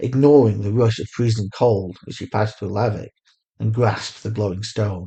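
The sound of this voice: The background is free of noise. An unforced reading voice carries the text.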